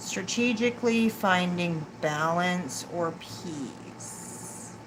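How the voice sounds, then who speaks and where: A mumbling woman, fairly low in pitch, very slow, with lively intonation over noticeable background noise. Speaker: tarot reader. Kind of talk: live tarot reading.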